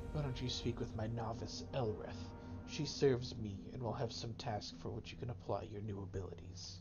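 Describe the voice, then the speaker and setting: A man uses a put-on character voice pitched fairly low, at a moderate pace. Loud background noise runs underneath. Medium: game stream.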